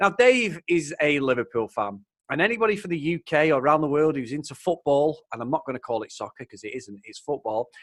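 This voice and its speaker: With a Mancunian accent and a fairly high pitch, a man speaks at a fairly quick pace with hardly any pauses, very wide pitch swings and big swings in loudness, over a quiet background in a dry, close sound with no echo. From Manchester, England. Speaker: podcast host. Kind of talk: casual chat. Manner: animated.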